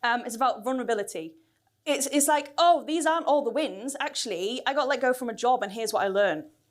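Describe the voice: A woman with a fairly high pitch speaks at a fairly quick pace. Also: ordinary pitch variation.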